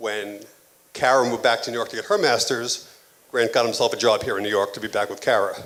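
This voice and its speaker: A man talks at a very fast pace, with fairly even intonation. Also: medium pitch for a man. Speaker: father of the bride giving a toast. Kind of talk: wedding toast. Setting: wedding reception, audience. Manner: mumbling.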